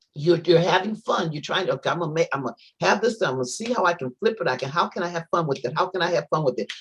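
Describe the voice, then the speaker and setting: Lively intonation runs through a somewhat breathy voice. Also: woman. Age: 60s. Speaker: guest speaker. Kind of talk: inspirational panel talk. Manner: halting, many repetitions and restarts.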